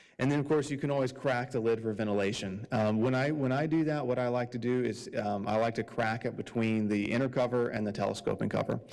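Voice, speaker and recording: A man at a medium pitch and a very fast pace, with fairly even intonation, hardly any pauses, and very even loudness. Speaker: beekeeping club speaker. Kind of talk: club meeting presentation.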